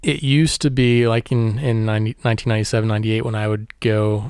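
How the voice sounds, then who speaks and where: Speaking in an American accent, a man holds a medium pitch. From Missouri (Warrensburg, near Kansas City). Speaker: photographer and artist. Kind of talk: interview.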